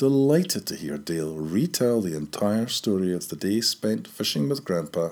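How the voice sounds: What you hear is a natural reading voice.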